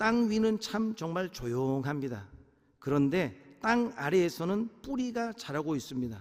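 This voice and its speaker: A man with a high pitch talks at a fairly slow pace, his voice making very wide pitch swings. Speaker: pastor. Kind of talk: sermon.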